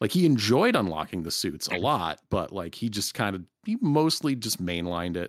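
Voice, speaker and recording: With hardly any pauses, a man talks at a moderate pace in a fairly low pitch that swings very widely, on a very clean recording with a silent background. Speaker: podcast host. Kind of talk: casual chat.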